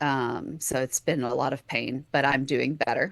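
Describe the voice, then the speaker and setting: The voice has a bright, sharp tone and a Texan accent. It moves at a moderate pace over a quiet background. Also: woman. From Texas. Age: 40s. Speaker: podcast host, chronic illness patient. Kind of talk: interview conversation.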